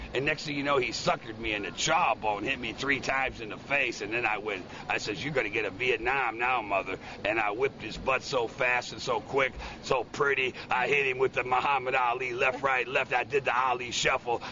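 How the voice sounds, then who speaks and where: Over noticeable background noise, a man at a medium pitch talks at a fairly quick pace with fairly even intonation. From Chicago, Illinois. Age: 60s. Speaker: Vietnam veteran. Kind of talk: news interview answer.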